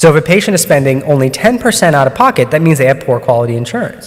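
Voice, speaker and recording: With noticeable background noise behind him, a man speaks at a fairly high pitch with lively intonation. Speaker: oncologist and researcher. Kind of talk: conference talk. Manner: hesitant with many fillers.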